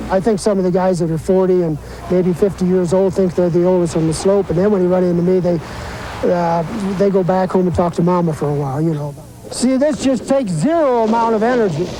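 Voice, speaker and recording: Noticeable background noise sits behind a man speaking at a very fast pace. His pitch is high, with ordinary variation. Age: 70s. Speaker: senior snowboarder and board designer. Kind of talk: news interview soundbite.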